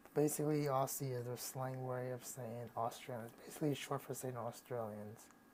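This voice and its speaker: Here a man speaks with an American accent at medium pitch. His intonation is monotone and flat, his pace moderate. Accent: American accent, noticeable to foreigners. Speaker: YouTuber. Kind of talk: casual vlog. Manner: halting, many fillers and restarts.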